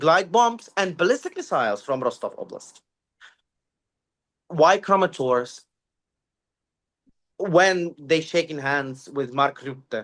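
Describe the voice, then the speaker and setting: Speaking at a very slow pace with long, frequent pauses, a man with a Ukrainian accent talks in a high pitch. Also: lively intonation. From Ukraine. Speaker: security analyst. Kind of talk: interview. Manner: halting, many fillers.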